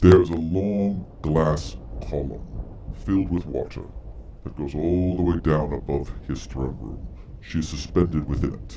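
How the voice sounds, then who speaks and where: A man uses a put-on character voice with very deep, low pitch. He talks at a moderate pace over clear background noise. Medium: actual play. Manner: measured, authoritative.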